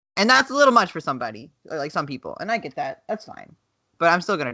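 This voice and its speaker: A woman with a slight Southern US accent speaks at a very fast pace in a bright, sharp tone with vocal fry and a fairly low pitch. Her pitch swings very widely and her loudness swings a lot, against a quiet background. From US South. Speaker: podcast co-host. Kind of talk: casual chat.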